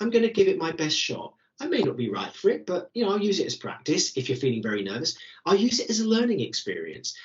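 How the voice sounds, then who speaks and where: A British-accented man speaks at a very fast pace in an enthusiastic tone. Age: 60s. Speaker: careers coach. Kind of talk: webinar Q&A.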